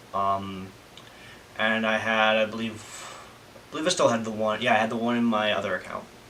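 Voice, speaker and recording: A man's fairly low voice with fairly even intonation at a moderate pace, amid noticeable background noise and audible room echo. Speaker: vlogger. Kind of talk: casual vlog monologue. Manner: halting, many fillers.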